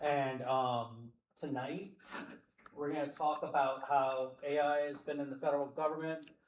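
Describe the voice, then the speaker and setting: Over audible room echo, a man with an American accent talks in a monotone, flat way at a fairly high pitch. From US South. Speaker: company representative, event sponsor. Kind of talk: introductory remarks to audience. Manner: loud; fast.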